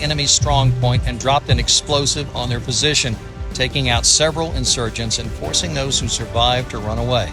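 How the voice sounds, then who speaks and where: With an American accent, a man talks at a fairly quick pace while music plays in the background. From United States. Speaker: professional voice over artist and storyteller. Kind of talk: documentary-style military biography narration.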